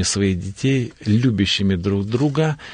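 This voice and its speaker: Pitch shifts in an ordinary way while the words come out very slowly. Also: man. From North Caucasus, Russia. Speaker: pastor. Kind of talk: studio interview. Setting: studio.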